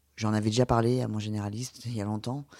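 In a plain, everyday voice, the speaker moves at a fairly quick pace on a very clean recording with a silent background. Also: man. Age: 30s. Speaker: patient sharing surgery experience. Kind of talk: testimony.

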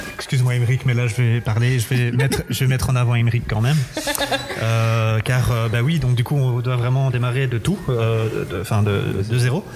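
A man at medium pitch and moderate pace, with very even loudness, fairly even intonation, and music in the background. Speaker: festival giant bearer. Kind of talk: interview. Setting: museum. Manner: halting.

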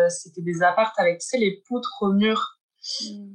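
A woman at a medium pitch, speaking at a moderate pace. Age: 20s. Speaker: gallery founder. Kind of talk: interview. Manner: halting.

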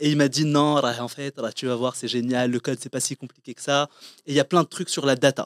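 A normal speaking voice moves at a fairly quick pace. The recording is very clean with a silent background, and the sound is dry and close with no echo. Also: man. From Morocco. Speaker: entrepreneur. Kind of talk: interview. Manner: casual.

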